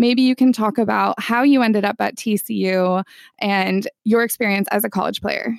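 Her plain, everyday voice is medium in pitch, with fairly even intonation at a moderate pace, captured in a very clean recording with a silent background. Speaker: podcast host. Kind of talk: interview.

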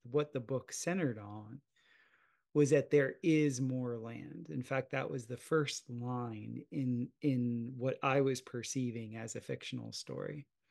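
Over a quiet background, a man with an American accent has an ordinary speaking voice at a medium pitch. He talks at a fairly slow pace with fairly even intonation. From US South, South Florida. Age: 40s. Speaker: podcast host. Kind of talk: casual interview conversation.

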